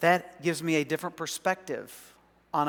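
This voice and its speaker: A man talks with an American accent. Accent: Southern, occasional. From US South, South Arkansas. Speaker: pastor. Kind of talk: sermon.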